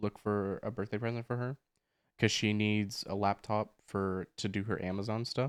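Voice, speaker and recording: In a dry, close recording with no echo, a man talks in a fairly low pitch with monotone, flat intonation. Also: very clean recording, silent background. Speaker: podcast co-host. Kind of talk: casual chat. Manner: loud. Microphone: new microphone.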